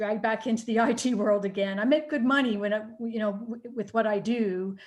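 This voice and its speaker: The speaker has a slight Canadian accent and a fairly even intonation. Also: woman. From Canada. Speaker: nutritionist and IT worker. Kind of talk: casual chat. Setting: video call. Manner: halting, many fillers.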